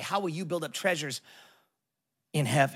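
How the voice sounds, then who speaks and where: A man with an American accent talks on a very clean recording with a silent background. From Southern California. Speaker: pastor. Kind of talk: guest sermon to a live church congregation, building to a rousing call on generosity. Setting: church with live audience. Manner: casual and warm with frequent filler ums and uhs.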